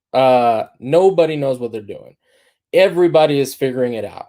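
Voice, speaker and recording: In a very clean recording with a silent background, a man with a dark, mellow tone and fairly high pitch speaks at a moderate pace with lively intonation. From Dominican Republic. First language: Spanish. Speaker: agency founder. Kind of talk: talk to students. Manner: many fillers and repetitions.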